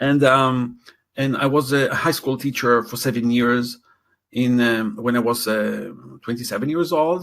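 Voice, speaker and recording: A man is speaking at a fairly slow pace. His intonation stays fairly even. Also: medium pitch for a man. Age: 60s. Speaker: educator. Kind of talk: interview. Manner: halting.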